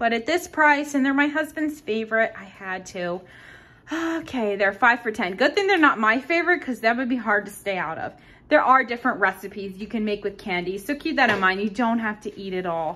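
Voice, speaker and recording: A woman speaks at a fairly quick pace in a fairly high voice, her tone bright and sharp and her intonation lively. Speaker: couponing vlogger. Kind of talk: shopping haul tutorial. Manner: fast.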